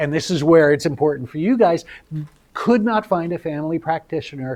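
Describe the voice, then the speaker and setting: A man is speaking. His intonation is lively. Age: 60s. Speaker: speaker living with early-onset brain disease. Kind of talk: presentation to medical residents. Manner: halting, with filler words.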